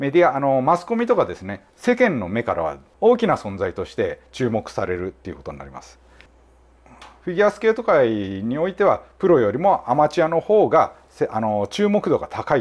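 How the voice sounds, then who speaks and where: A man talks at a fairly quick pace in a fairly high pitch, with very wide pitch swings. His voice has vocal fry and big swings in loudness. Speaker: judo therapist and clinic head. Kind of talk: explanatory commentary video.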